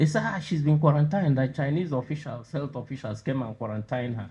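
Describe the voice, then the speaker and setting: A man's medium-pitched voice comes through somewhat breathy. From Nigeria, southeast. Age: old. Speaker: university president, professor. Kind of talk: lecture.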